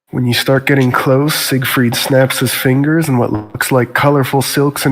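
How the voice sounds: What you hear is a natural reading voice.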